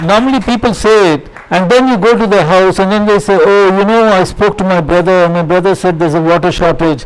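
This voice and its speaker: Audible room echo carries a man's high voice as he speaks at a very fast pace with hardly any pauses, very even loudness and ordinary pitch variation. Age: 70s. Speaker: social worker. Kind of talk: lecture. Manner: halting.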